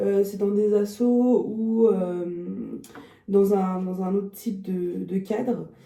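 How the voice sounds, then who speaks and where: A woman talks with monotone, flat intonation in audible room echo, with noticeable background noise present. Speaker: dog trainer and behaviourist vlogger. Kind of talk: casual vlog talk to camera. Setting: at her stand at a dog show. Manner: hesitant, many filler sounds.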